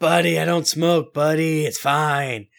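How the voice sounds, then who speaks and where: Putting on a gravelly character voice, a man speaks fairly slowly with a fairly high pitch. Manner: gruff, reassuring.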